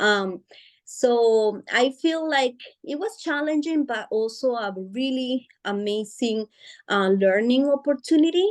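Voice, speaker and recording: Lively intonation marks this fairly slow delivery in a Spanish accent. The background is quiet. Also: woman, high pitch for a woman. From Guatemala. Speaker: author and parent support advocate. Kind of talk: interview. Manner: hesitant, many fillers.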